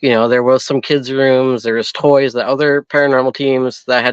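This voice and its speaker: This man has medium pitch and an American accent and talks at a moderate pace. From Minnesota. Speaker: paranormal investigator. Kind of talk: casual interview.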